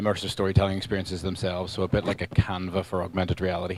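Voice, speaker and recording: The man speaks very fast. He has an Irish accent. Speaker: tech company founder. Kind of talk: panel introduction.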